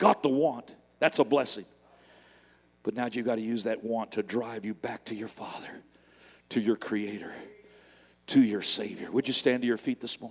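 A man's medium-pitched voice at a moderate pace, with long, frequent pauses and big swings in loudness. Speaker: guest preacher. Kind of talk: sermon. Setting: church. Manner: animated; fervent.

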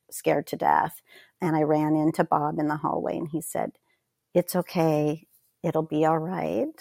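A woman with an American accent speaks at a moderate pace with vocal fry. Her pitch is very deep and low, her intonation monotone and flat. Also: dry, close sound with no echo, very clean recording, silent background. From US West Coast, rural Northern California. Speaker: pathologist. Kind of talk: interview.

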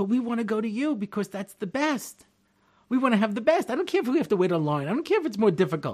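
In a very clean recording with a silent background, a man with a New York accent talks very fast at a high pitch with very wide pitch swings. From Long Island, New York. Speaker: rabbi. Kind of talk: lecture.

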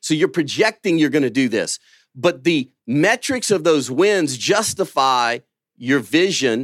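On a very clean, silent recording with a dry, close sound and no echo, a man with a Southern US accent and a fairly high voice talks at a moderate pace with lively intonation. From Louisiana. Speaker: pastor and businessman. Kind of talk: conference panel talk.

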